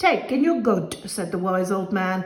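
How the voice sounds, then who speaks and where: A woman puts on a character voice at a medium pitch. She talks at a moderate pace with audible echo. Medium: read story.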